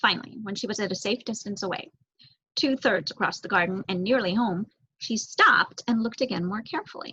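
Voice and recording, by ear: A woman with a medium pitch talks at a fairly quick pace, her bright, sharp tone carrying a slightly husky edge and lively intonation.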